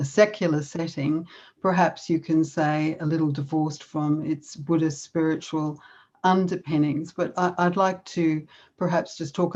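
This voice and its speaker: Over a quiet background, a woman with an Australian accent speaks at a moderate pace in a fairly low, monotone, flat voice. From Australia, Melbourne. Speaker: conference speaker on yoga and self-compassion. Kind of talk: conference talk.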